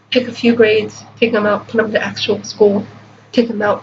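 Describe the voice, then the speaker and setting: Flat, monotone speech plays against noticeable background noise. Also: woman. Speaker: book reviewer. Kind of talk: casual talk to camera.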